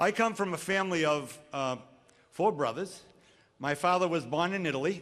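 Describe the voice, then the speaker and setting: Speaking at a fairly quick pace, a man with a New England accent uses a fairly high pitch with ordinary pitch variation. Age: 60s. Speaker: commencement speaker. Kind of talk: commencement speech.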